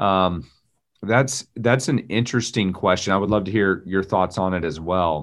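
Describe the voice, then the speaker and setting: With a quiet background, the speaking goes at a moderate pace and shows ordinary pitch variation. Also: man, very deep, low pitch for a man. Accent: Texan. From Texas. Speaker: pastor and former Marine. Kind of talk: casual interview conversation.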